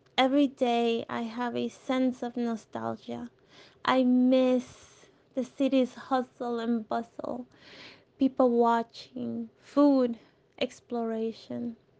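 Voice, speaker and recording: Her high-pitched voice has a dark, mellow tone, and this woman speaks at a very slow pace with monotone, flat intonation. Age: 30s. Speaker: city resident sharing personal story. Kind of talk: personal testimony.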